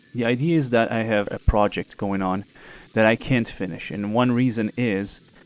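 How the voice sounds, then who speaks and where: A man with a fairly low voice talks at a fairly quick pace and ordinary pitch variation, with music playing in the background. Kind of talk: casual talk to camera. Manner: hesitant.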